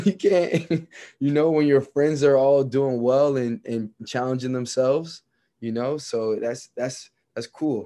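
A man with a plain, everyday voice speaks fairly slowly at medium pitch with ordinary pitch variation against a quiet background. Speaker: podcast host. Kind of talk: casual interview chat.

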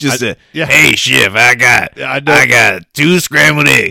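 Using a put-on character voice, a man sounds gravelly, croaky and raspy at medium pitch and a very slow pace.

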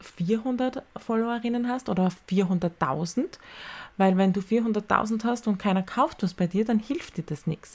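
A woman's somewhat breathy, medium-pitched voice at a very slow pace, with ordinary pitch variation, on a very clean recording with a silent background. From Austria, Styria. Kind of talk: solo podcast talk. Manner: casual.

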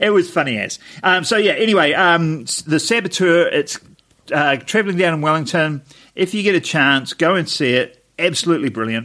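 Against a very clean recording with a silent background, a man with a New Zealand accent speaks at a moderate pace in a bright, sharp, high-pitched tone with lively intonation. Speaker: podcast co-host. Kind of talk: casual chat.

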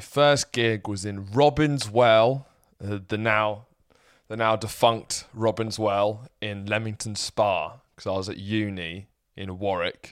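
A man with a southern English accent speaks at a very slow pace in a fairly low pitch with fairly even intonation. His loudness swings widely, and the recording is very clean with a silent background. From southern England (Sussex). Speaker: stand-up comedian. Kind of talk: casual chat.

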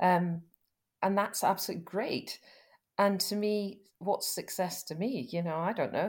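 A woman speaks at a moderate pace with a Scottish accent, leaving long, frequent pauses, on a very clean recording with a silent background. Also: medium pitch for a woman, ordinary pitch variation. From Scotland, West Fife. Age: 50s. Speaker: rural business lawyer. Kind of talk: interview. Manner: halting.

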